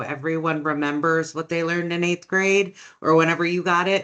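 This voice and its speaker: In an American accent, a woman with a fairly low voice talks at a fairly quick pace with fairly even intonation and a plain, everyday voice. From Oregon. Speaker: policy director. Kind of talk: presentation.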